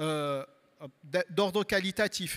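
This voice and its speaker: Talking very slowly, a man in a Marseille accent uses a high-pitched voice with lively intonation. The sound is dry and close, with no echo. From southern France, Marseille. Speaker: university researcher. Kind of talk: panel talk presentation. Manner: halting, many repetitions and fillers.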